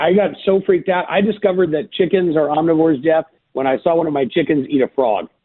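Fairly quick and very even in loudness, a man with an unremarkable speaking voice speaks at a fairly high pitch with ordinary pitch variation. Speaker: farmer and podcaster. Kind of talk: casual interview chat.

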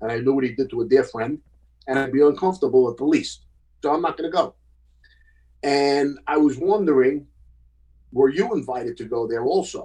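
A man with a New York accent talks at a fairly quick pace but leaves long, frequent pauses. His voice is fairly high in pitch, dark and mellow in tone, with ordinary pitch variation. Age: 60s. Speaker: former mobster. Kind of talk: casual chat. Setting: video call.

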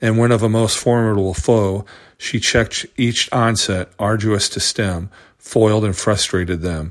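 A man speaks in an unremarkable speaking voice at a fairly low pitch with fairly even intonation. The recording is very clean, with a silent background. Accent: American. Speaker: radio host. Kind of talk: poem reading aloud, solemn tribute to fallen soldiers. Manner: slow, measured, earnest and reverent.

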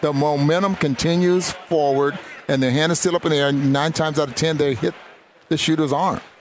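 Fairly quick, fairly even speech from a man with a fairly high pitch, music playing in the background. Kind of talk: basketball color commentary, analyzing play. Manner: conversational, analytical.

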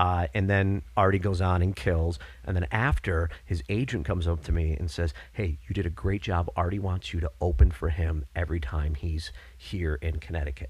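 A man's very deep, low voice with vocal fry and an American accent, at a moderate pace with ordinary pitch variation, on a very clean recording with a silent background. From upstate New York (Binghamton). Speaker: school teacher and comedian. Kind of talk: casual chat.

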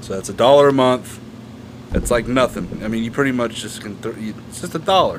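Talking at a fairly quick clip, a man with a medium-pitched voice uses ordinary pitch variation while his loudness swings widely over noticeable background noise. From Kentucky. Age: 20s. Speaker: podcast co-host. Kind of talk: casual chat.

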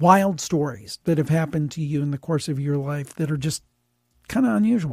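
In a Midwestern American accent, a man with a dark, mellow tone and fairly high pitch speaks with ordinary pitch variation in a very clean recording with a silent background. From US Midwest, Cleveland, Ohio. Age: 50s. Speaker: podcast host and producer. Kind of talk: casual interview chat.

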